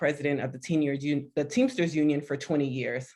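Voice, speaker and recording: A woman speaks with an American accent at a fairly quick pace, her pitch very deep and low. The background is quiet. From Miami, Florida. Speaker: consultant and activist. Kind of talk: panel discussion. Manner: animated.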